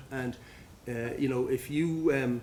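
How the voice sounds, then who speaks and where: Over noticeable background noise, a man of medium pitch talks in an Irish accent with fairly even intonation. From Ireland, Dublin. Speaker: addiction medicine physician. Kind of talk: conference talk. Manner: hesitant, repeats words.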